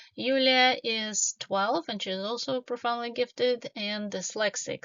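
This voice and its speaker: A woman speaks with a Russian accent. Her pace is fairly slow. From Ukraine, Kiev. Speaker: doctoral student and tech professional. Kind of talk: conference presentation. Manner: hesitant with frequent fillers.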